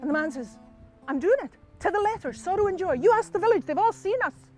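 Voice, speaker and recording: A man's voice in a Scottish accent with very wide pitch swings, dry and close with no echo, with music in the background. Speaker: storyteller. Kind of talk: live storytelling performance. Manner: lively, humorous.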